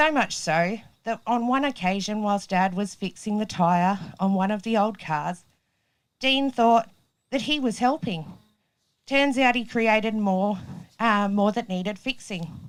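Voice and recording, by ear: This woman's voice has a clear, smooth tone at a medium pitch. She speaks at a fairly slow pace. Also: ordinary pitch variation.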